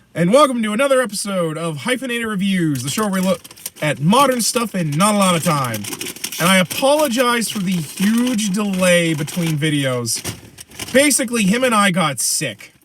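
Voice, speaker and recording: Noticeable background noise sits behind a man speaking at a moderate pace. His pitch is high, with very wide swings. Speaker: podcast host. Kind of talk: casual chat.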